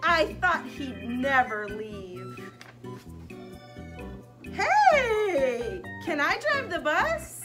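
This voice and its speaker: A cartoonish character voice speaks at a very slow pace. Loud music plays in the background. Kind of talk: children's puppet show. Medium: puppet show. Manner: wheedling, whiny, growing frantic.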